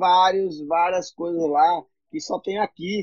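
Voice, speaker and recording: A man speaks very slowly at a high pitch, with ordinary pitch variation. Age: 40s. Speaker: entrepreneur, civic movement founder. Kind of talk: casual interview. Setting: Instagram live.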